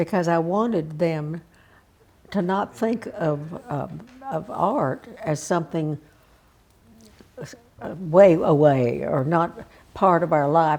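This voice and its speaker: With a Texas accent, a woman speaks at a very slow pace with a fairly low pitch and ordinary pitch variation. Her speech has long, frequent pauses. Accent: Southern US (Texas). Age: 80s+. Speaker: civic leader and arts patron. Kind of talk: oral history interview answer. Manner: hesitant, reflective.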